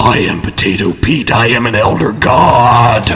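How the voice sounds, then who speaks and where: A man uses a put-on character voice at medium pitch, speaking at a moderate pace. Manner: eerie, otherworldly.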